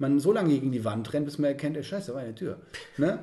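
Here is a man with an ordinary speaking voice. His pitch is fairly high, with ordinary pitch variation. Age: 30s. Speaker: organiser of psychedelic spiritual retreat weekends. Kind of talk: interview.

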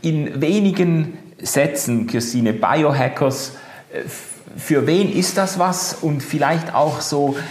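A man's fairly high voice with lively intonation at a very slow pace, with audible room echo and noticeable background noise. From Switzerland, Basel. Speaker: podcast host. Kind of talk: casual chat. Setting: video call.

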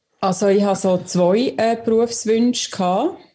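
A woman's dark, mellow, somewhat breathy voice. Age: young. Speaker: listener contributor. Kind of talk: casual chat.

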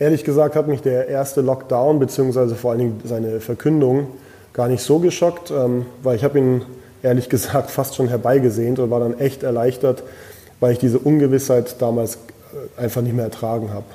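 Using a plain, everyday voice, a man speaks at a fairly quick pace in a medium pitch with fairly even intonation. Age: 30s. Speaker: restaurant owner. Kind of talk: interview.

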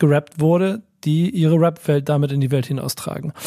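His tone is dark and mellow. The man's pitch sits fairly high. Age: 40s. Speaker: podcast co-host. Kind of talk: casual chat.

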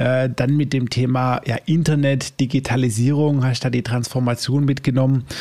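Hardly pausing, a man speaks in a flat monotone. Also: medium pitch for a man, moderate pace, very even loudness. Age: 30s. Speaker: podcast host. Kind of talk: interview. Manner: casual, filler words.

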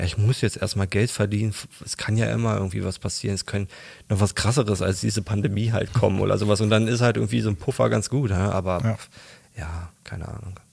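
A man's fairly low, fry-edged voice at a very fast pace over a quiet background. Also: ordinary pitch variation. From Berlin, later Dutch border region. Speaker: freelance 3D artist. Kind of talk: interview, casual chat. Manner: hesitant, many fillers.

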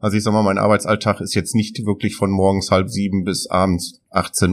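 Very deep, low male voice moving at a fairly quick pace. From Germany, Aalen area. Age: 30s. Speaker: helicopter company owner. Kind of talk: interview. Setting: on location at his company. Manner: hesitant, many fillers.

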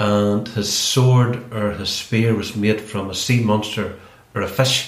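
A man with a Northern Irish accent speaks in a medium pitch with monotone, flat intonation. Room echo and background noise are both noticeable. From Northern Ireland, County Derry. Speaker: ex political prisoner and B&B host. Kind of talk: casual interview, storytelling. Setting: kitchen at home.

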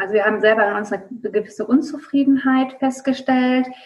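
A woman's plain, everyday voice with fairly even intonation. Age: 30s. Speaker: occupational therapist and coach. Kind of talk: interview.

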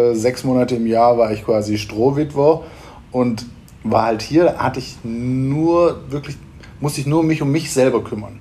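Noticeable background noise sits behind this speaker. A man talks at a fairly slow pace and medium pitch with ordinary pitch variation. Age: 40s. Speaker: event venue owner and business coach. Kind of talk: interview. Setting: event venue.

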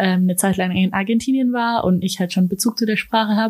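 A woman with a medium pitch talks at a fairly quick pace, somewhat breathy, with ordinary pitch variation. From Germany (Ulm), partly Austria. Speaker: university student. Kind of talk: interview. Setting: studio.

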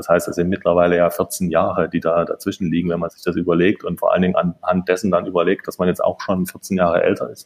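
Racing along at a very fast pace with hardly any pauses, a man's voice swings widely in loudness. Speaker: architect. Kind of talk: interview. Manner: halting, many filler sounds.

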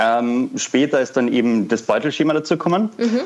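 Speaking at a moderate pace with lively intonation, a man at a medium pitch has a plain, everyday voice. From Austria, Vienna. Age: 20s. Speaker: founder of a fashion startup. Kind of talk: interview.

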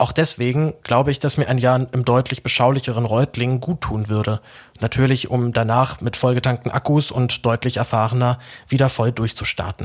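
His intonation is monotone and flat throughout. This man's voice lies at a medium pitch. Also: moderate pace. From Berlin, Germany. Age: 20s. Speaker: journalist and podcaster. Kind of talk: personal announcement monologue.

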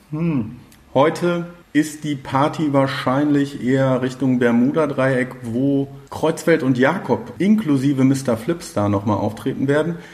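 Speaking with a fairly high pitch and ordinary pitch variation, a man talks at a very slow pace. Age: 30s. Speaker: community radio host. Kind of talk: casual interview chat. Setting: café / on location.

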